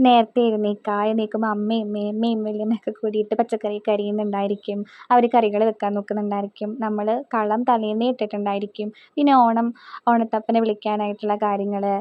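A woman speaks in a central Kerala accent at a fairly high pitch. Her intonation is monotone and flat. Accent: Thrissur Malayalam. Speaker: family vlogger. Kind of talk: casual vlog talk.

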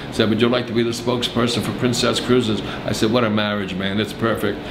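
Over noticeable background noise, a man talks with fairly even intonation. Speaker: interviewee. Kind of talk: interview answer. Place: office.

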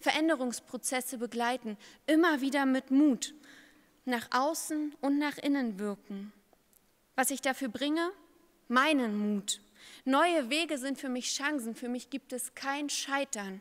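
A woman's high voice at a fairly slow pace, with ordinary pitch variation, long, frequent pauses and a quiet background. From eastern Germany, Brandenburg (Uckermark); Brandenburg, Germany. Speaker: pastor. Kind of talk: candidacy speech to a church synod. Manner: formal. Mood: earnest, confident. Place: hall. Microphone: podium.

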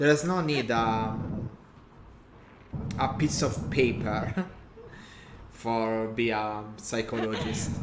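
Over noticeable background noise, the speaker talks very slowly with an Italian accent and long, frequent pauses. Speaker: gaming streamer. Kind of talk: casual chat. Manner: halting.

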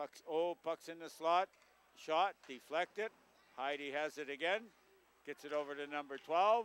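Someone with a Canadian accent speaks at a moderate pace with ordinary pitch variation and long, frequent pauses, in a dry sound with no echo. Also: man. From Canada, Manitoba. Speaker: local hockey play-by-play commentator. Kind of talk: live hockey play-by-play commentary. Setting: local TV broadcast at a rink. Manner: casual, hesitant, self-correcting with frequent uhs. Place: stadium.

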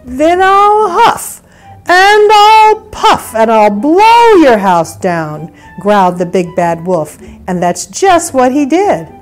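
Faint music plays in the background. A woman speaks in a high voice. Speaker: storyteller grandmother. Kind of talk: children's story read-aloud. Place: home room.

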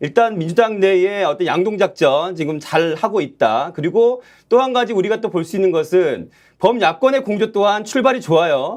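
Lively intonation at a moderate pace with hardly any pauses, on a very clean recording with a silent background. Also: man, high pitch for a man. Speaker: news show host. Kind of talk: political news commentary.

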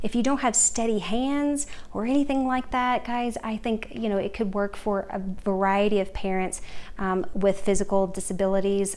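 A woman is speaking here. Her pace is moderate and her pitch moves in an ordinary way. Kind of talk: tutorial. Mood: friendly, upbeat. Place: kitchen. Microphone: phone near.

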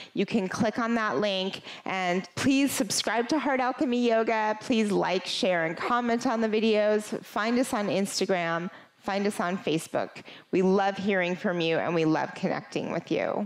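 A woman at a moderate pace with ordinary pitch variation. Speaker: yoga instructor. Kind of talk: sponsor intro then class introduction. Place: home room. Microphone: headset.

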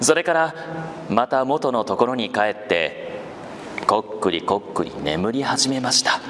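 A man's medium-pitched voice with lively intonation at a fairly slow pace, over noticeable background noise. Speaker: voice actor. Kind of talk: live literary reading to children.

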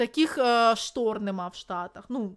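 A woman speaks in an animated tone at a fairly high pitch, with ordinary pitch variation. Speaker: video blogger and streamer. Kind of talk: live stream chat. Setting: live stream with video-call guests.

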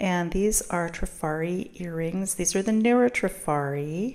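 A woman with a fairly low pitch and ordinary pitch variation against a quiet background. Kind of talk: casual haul vlog narration.

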